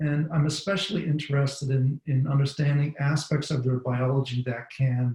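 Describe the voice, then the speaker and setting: With an ordinary speaking voice, a man at a medium pitch talks at a moderate pace with fairly even intonation. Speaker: bat researcher. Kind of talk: webinar presentation.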